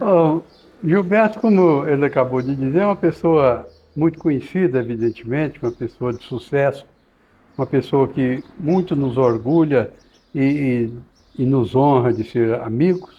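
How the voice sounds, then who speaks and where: A man with a fairly high pitch speaks at a fairly slow pace, his intonation lively. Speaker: podcast host. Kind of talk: podcast interview. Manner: halting.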